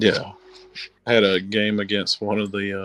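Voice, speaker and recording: A man speaks with a slight Southern accent at a fairly low pitch. His intonation stays monotone and flat. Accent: slight southern twang. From US South. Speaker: army veteran and wargamer. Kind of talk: casual chat.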